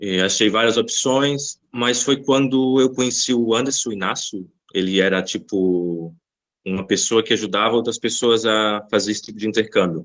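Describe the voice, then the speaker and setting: At a moderate pace, a man talks at medium pitch in a plain, everyday voice with ordinary pitch variation. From Brazil, Bahia. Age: 20s. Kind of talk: podcast interview.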